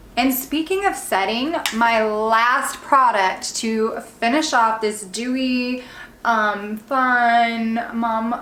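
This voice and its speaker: A woman speaks in a fairly high voice. Audible room echo surrounds her. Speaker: beauty vlogger and real estate agent. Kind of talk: makeup tutorial. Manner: animated.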